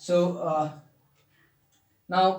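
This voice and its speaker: There is audible room echo around a man speaking at a high pitch. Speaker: physics tutor. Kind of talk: tutorial. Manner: fast; halting, many fillers.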